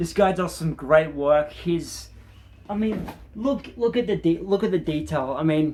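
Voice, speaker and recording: A man mumbles in an Australian accent. His pitch is high. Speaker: gaming YouTuber. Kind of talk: casual vlog talk to camera. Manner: hesitant, many ums and repetitions; mumbling.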